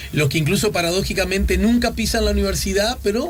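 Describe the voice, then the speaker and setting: A man with a Uruguayan accent talks very fast over noticeable background noise. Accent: Rioplatense Spanish (Uruguayan). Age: 50s. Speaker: radio host. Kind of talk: radio interview. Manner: casual.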